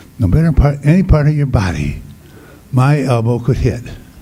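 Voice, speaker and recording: The man's lively intonation and moderate pace carry through audible room echo and noticeable background noise. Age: 80s+. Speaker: priest and former basketball player. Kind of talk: award acceptance speech. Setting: luncheon event with audience. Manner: halting.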